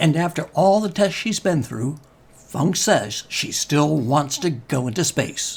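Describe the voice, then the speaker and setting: A man talks at a fairly slow pace in an unremarkable speaking voice. His pitch is fairly high, with lively intonation. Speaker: space news show host. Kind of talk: news narration, space program host.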